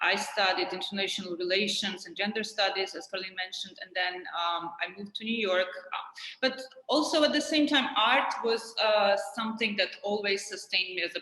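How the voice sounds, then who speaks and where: Amid noticeable background noise, a woman at a medium pitch speaks at a moderate pace with ordinary pitch variation and big swings in loudness. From Georgia (country). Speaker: art curator and writer. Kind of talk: interview.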